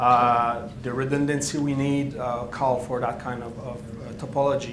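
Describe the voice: A man speaks at a moderate pace and medium pitch, with audible room echo around him.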